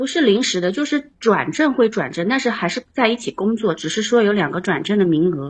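At a fairly quick pace, a woman speaks with medium pitch and very wide pitch swings. Her voice is somewhat breathy. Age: 30s. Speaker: caller to advice livestream. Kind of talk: casual advice chat. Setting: live-stream call-in.

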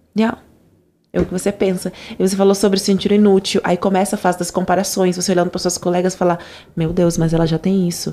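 A woman talks at a very fast pace. Her voice has a medium pitch and a dark, mellow tone. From Angola. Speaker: podcast host. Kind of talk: casual interview chat. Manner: animated.

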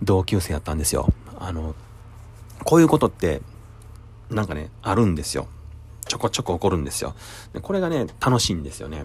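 A man's very deep, low voice, very fast yet broken by long, frequent pauses, somewhat breathy, with lively intonation and big swings in loudness. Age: 40s. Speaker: restaurant kitchen worker. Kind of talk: casual monologue.

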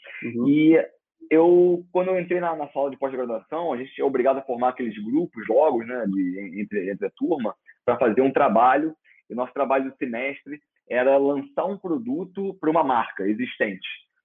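He has a plain, everyday voice, pitched fairly high for a man. The pace is moderate and the intonation lively. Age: 30s. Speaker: former pizza chain executive. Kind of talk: interview.

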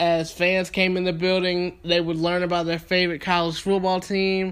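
In a Southern US accent, a man with a high pitch speaks at a moderate pace in a flat, monotone way. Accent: Southern US (Georgia). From US South, Thomaston, Georgia. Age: 20s. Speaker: sports podcast host. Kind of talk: podcast monologue.

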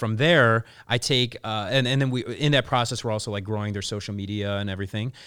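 A man's medium-pitched voice with fairly even intonation, an ordinary speaking voice. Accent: American. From Chicago, US Midwest. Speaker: publicist and influencer marketer. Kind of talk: casual interview chat. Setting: studio.

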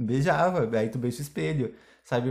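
A man talks in an animated, somewhat breathy way. The recording is very clean, with a silent background. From Brazil. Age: 20s. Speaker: podcast host. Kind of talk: casual chat.

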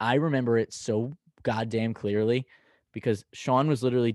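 Against a quiet background, a man with an unremarkable speaking voice at medium pitch talks at a moderate pace with fairly even intonation, the sound dry and close with no echo. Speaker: podcast co-host. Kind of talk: casual chat. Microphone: new mic.

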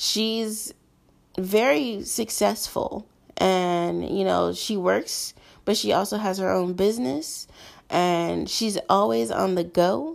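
A woman speaks at a very slow pace. The recording is very clean with a silent background. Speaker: podcast host. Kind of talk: casual solo monologue.

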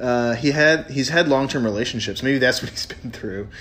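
This man has a normal speaking voice, medium in pitch with ordinary pitch variation. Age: 30s. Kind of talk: casual chat.

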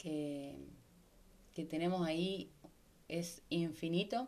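In a Rioplatense accent, a woman speaks with a dark, mellow tone and a fairly low pitch. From Argentina, Rosario. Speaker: podcast host. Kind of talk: casual monologue.

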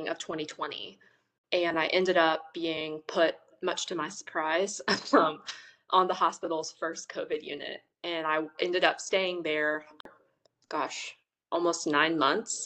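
A woman's fairly low, bright and sharp voice with a Southern US accent, flat monotone delivery, a fairly slow pace, and long, frequent pauses. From US South, Memphis, Tennessee. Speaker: nurse. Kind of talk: casual chat.

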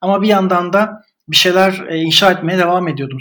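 A man talking at a fairly quick pace. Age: 30s. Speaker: writer and digital marketer. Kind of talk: casual chat. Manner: halting, many fillers.

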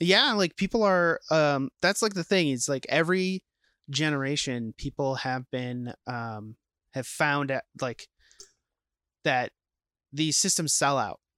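A man with an American accent speaks at a fairly slow pace, with long, frequent pauses, lively intonation and a fairly high pitch. His tone is bright and sharp, and the very clean recording has a dry, close sound with no echo and a silent background. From Minnesota (Saint Paul). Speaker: podcast co-host. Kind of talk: casual chat. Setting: home basement game room.

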